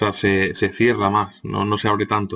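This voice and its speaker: Against a quiet background, a man talks at a moderate pace and medium pitch. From Andalusia, Córdoba. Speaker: teacher. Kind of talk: lecture. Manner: hesitant, many fillers.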